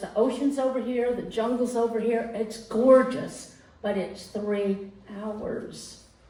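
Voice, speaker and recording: At a very slow pace, a woman with a fairly high pitch and ordinary pitch variation speaks over noticeable background noise and audible room echo. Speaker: storyteller. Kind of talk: personal storytelling to a live audience. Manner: conversational, with hesitations.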